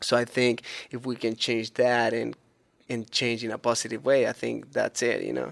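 A man with a Spanish accent, at a moderate pace. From Chile. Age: 30s. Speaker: BMX vert rider. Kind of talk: casual interview.

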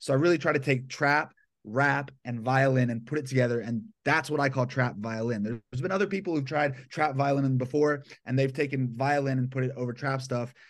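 A man talks at a fairly quick pace at a medium pitch in an ordinary speaking voice. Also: ordinary pitch variation. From Atlanta, Georgia, US South. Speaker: violinist and hip-hop producer. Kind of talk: casual interview. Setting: remote call from his bedroom.

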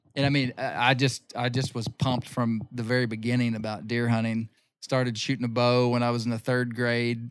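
Speaking fairly quickly with an Ozarks accent, a man keeps his medium-pitched voice in a monotone. The intonation stays flat throughout. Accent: Ozarks Southern US. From Arkansas. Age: 40s. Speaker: bear hunter and magazine publisher. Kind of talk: casual interview chat.

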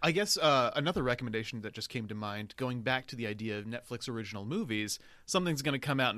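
A man at medium pitch with a bright, sharp tone, ordinary pitch variation and a very fast pace, in a very clean recording with a silent background. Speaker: film critic. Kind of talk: casual chat. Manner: stammering.

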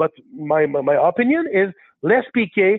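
A man speaks with a Quebec accent in a high pitch. His pitch swings very widely. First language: French. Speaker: caller. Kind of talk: casual chat.

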